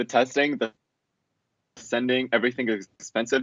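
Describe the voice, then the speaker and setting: Here a man speaks in a Russian accent. He goes at a fairly quick pace. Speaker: college student. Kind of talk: casual interview.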